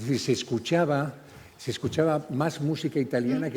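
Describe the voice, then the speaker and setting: A man speaks in a somewhat breathy voice. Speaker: panel moderator. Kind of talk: moderated panel discussion. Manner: halting, many repetitions.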